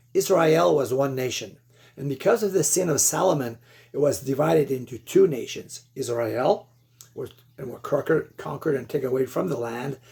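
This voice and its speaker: A man with a Quebec accent speaks at a moderate pace, his pitch fairly high and his intonation lively. His tone is dark and mellow, and somewhat breathy. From Quebec, Canada. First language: French. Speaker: lay Bible teacher. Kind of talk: religious exposition monologue. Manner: halting, with many fillers and repeats.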